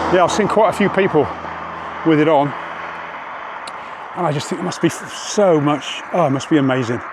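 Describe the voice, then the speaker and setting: Through noticeable background noise and audible room echo, a man with a fairly high voice and ordinary pitch variation talks at a fairly quick pace, broken by long, frequent pauses. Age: old. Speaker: cycling vlogger. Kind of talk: casual vlog monologue while riding. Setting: outdoors on a bike.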